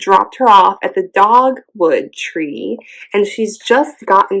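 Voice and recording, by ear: Lively intonation in a natural read-aloud voice.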